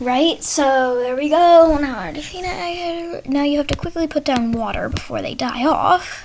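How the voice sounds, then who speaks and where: The speech runs on with hardly any pauses. Noticeable background noise sits behind it. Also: moderate pace. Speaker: gaming tutorial creator. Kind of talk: tutorial. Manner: halting, with fillers.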